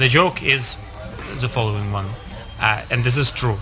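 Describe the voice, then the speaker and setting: Music plays in the background. A man talks with a Russian accent. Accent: Russian accent, foreigner speaking English. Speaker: stand-up comedian. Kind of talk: casual chat. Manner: halting.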